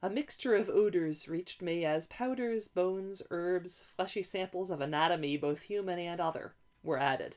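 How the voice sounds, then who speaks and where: A woman talks in a plain, everyday voice at a moderate pace, with hardly any pauses. Her pitch is medium, with ordinary variation. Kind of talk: audiobook reading.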